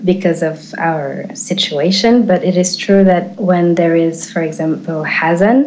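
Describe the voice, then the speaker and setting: With an Eritrean accent, a woman speaks very slowly at a medium pitch and with fairly even intonation. Noticeable background noise and audible room echo surround her voice. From Switzerland, French-speaking. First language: Tigrinya. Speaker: activist. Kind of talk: interview. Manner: halting, many fillers.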